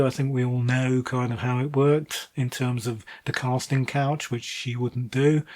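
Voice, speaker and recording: Speaking with a British accent, a man keeps a moderate pace at medium pitch. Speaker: book reviewer. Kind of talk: casual monologue review. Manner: hesitant, many fillers.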